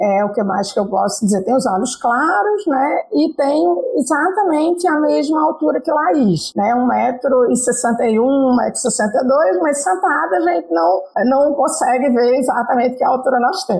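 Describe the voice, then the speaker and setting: A woman speaks at a high pitch with very wide pitch swings and very even loudness. Her moderate pace has hardly any pauses, and background noise is noticeable. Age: 60s. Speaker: computer science professor. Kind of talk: interview. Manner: hesitant, many filler sounds.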